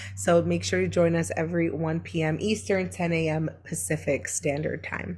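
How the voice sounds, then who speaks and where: Noticeable background noise sits behind a woman with an American accent and a very deep, low pitch. Her pitch swings very widely, and she speaks with hardly any pauses. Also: moderate pace. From Brooklyn, New York. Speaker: online business coach. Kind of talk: live-streamed teaching webinar. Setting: live online stream. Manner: casual, with frequent fillers.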